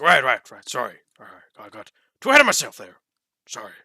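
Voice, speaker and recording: Someone talks at a very fast pace in a raspy, put-on character voice. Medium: actual play. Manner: hasty, apologetic.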